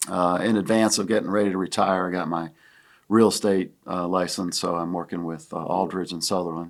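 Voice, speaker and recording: In a very clean recording with a silent background, a man with an American accent speaks in a very deep, low voice with fairly even intonation. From Pennsylvania, Williamsport. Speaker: retired university athletics fundraiser, real estate agent. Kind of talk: casual podcast conversation.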